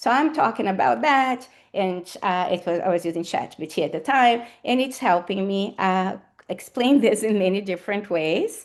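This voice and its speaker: With a Portuguese accent, a woman at medium pitch speaks at a moderate pace with lively intonation against a quiet background. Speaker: academic speaker. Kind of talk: lecture. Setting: seminar with audience. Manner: hesitant with fillers.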